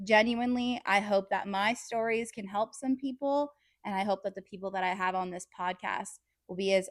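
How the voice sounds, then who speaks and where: Recorded very cleanly with a silent background and a dry, close sound with no echo, a woman with a West Coast accent speaks at medium pitch with ordinary pitch variation. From California, San Diego. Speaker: podcast host. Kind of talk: casual monologue, partly read from notes. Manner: animated.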